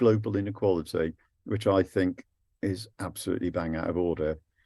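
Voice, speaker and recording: A man speaks at a moderate pace in a dark, mellow tone with ordinary pitch variation. The recording is very clean, and the background is silent. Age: 70s. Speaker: anti-war activist and physicist giving a talk. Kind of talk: presentation to a group. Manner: lively.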